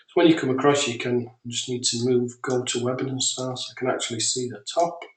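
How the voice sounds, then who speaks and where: A man with a British accent. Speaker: software developer. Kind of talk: software demo webinar. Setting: webinar.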